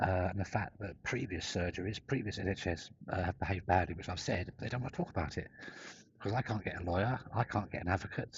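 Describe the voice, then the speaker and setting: A man speaks at a very fast pace, somewhat breathy. His pitch variation is ordinary. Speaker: whistleblower vlogger. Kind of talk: personal vlog monologue. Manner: halting, fragmented.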